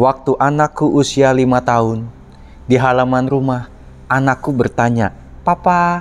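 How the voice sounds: The intonation stays fairly even in a natural reading voice.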